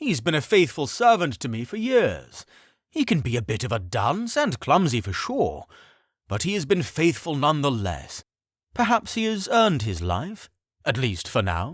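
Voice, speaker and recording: Putting on a character voice, a man speaks at a moderate pace with a fairly high pitch and very wide pitch swings, on a very clean recording with a silent background. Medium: read story. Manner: charming, diplomatic.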